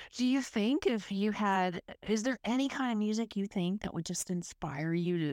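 A woman with a Texan accent speaks with lively intonation on a very clean recording with a silent background, the sound dry and close with no echo. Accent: Texan American. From South Texas, US. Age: 50s. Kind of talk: casual interview chat.

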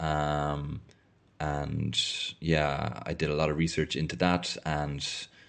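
A man is speaking. He has an Irish accent. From Ireland. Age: 30s. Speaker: podcaster. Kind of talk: reading aloud and discussing own thesis. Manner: hesitant, many fillers.

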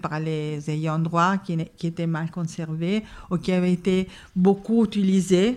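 Very slowly, a woman with an Italian accent speaks at fairly low pitch with fairly even intonation. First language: Italian (speaking French). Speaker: film archivist. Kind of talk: interview. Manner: halting.

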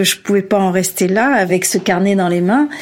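Noticeable background noise sits behind a woman's voice. She talks at a moderate pace, with a medium pitch and ordinary variation. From Algeria. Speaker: author and journalist. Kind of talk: interview.

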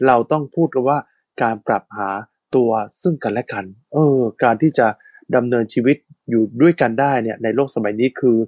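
A man uses a normal speaking voice, pitched in the middle range, with his pitch shifting in a usual way. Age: 40s. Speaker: radio host. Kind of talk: casual chat.

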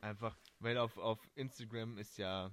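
The man's medium-pitched voice carries fairly even intonation. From Stuttgart area, Germany. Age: 20s. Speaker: podcast co-host. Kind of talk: casual chat. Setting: video call.

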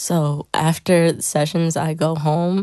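With an American accent, the speaker moves at a very slow pace in a dark, mellow tone, captured with a dry, close sound and no echo. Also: woman. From New Jersey. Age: 20s. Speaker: songwriter and producer. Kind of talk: casual chat. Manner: hesitant with frequent fillers.

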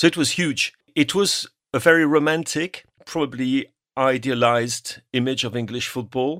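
In a very clean recording with a silent background and a dry, close sound with no echo, a man with a French accent speaks at medium pitch and a moderate pace, with ordinary pitch variation. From northern France, Normandy. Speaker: sports journalist. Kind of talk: panel discussion.

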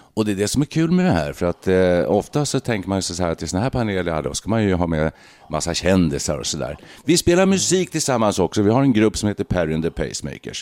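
Very deep and low, a man's voice moves at a very fast pace with lively intonation, the sound dry and close with no echo. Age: 60s. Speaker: podcast host, former radio journalist. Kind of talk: casual chat.

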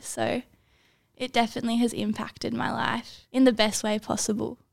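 In a very clean recording with a silent background, a woman talks with an Australian accent. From Australia, Sydney. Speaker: university student. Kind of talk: casual chat.

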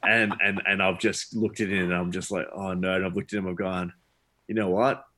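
Recorded very cleanly against a silent background, the voice has an Australian accent and a bright, sharp tone with monotone, flat intonation. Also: man, very deep, low pitch for a man, fairly quick pace. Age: 30s. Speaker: charity event founder. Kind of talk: interview conversation.

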